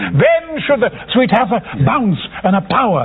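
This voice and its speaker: The speaker has an animated tone against noticeable background noise. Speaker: actor. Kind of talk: interview.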